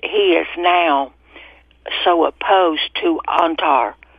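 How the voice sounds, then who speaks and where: Noticeable background noise sits behind a woman's speaking voice. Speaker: radio caller. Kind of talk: call-in talk radio. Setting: phone call.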